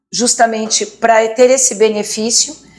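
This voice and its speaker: The woman speaks at a fairly high pitch. Noticeable background noise runs underneath. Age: 60s. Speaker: motivational speaker and teacher. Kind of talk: interview testimony. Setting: studio. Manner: halting.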